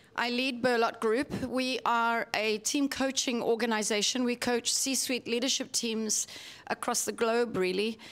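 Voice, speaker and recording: The delivery is monotone and flat, at a fairly slow pace with very even loudness. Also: woman, high pitch for a woman. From Italy, then Zimbabwe and South Africa. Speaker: team coach, conference speaker. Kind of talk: conference talk.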